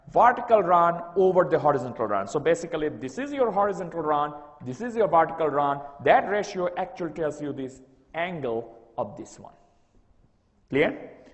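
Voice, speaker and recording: A man's high-pitched voice at a moderate pace, with very wide pitch swings, big swings in loudness and audible room echo. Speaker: university lecturer. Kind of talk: lecture. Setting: classroom with document camera. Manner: sometimes garbled speech.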